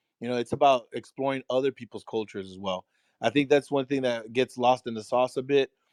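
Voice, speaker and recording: Very fast and in a Texan accent, a man talks at a medium pitch. His intonation is fairly even, and the recording is very clean with a silent background. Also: dry, close sound with no echo. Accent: Texan American English. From Texas, San Antonio. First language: Spanish. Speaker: discussion co-leader. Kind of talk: casual chat. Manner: halting.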